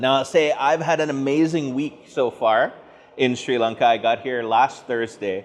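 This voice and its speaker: A man with a Canadian accent, medium pitch, ordinary pitch variation and a moderate pace. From Atlantic Canada. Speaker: academic speaker. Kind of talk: lecture. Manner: loud.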